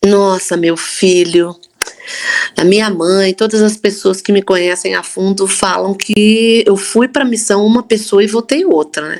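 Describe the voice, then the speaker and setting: Against noticeable background noise, a woman speaks at a fairly slow pace in a medium-pitched voice with ordinary pitch variation. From Brazil, Campinas (São Paulo state). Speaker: church member sharing faith story. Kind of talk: testimony.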